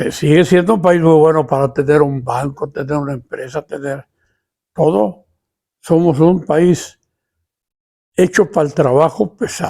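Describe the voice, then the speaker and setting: With a dark, mellow tone and fairly high pitch, a man speaks fairly slowly, leaving long, frequent pauses and using ordinary pitch variation. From Mexico. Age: 80s+. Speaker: YouTuber, elderly storyteller. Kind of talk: casual monologue to camera. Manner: plain, unadorned.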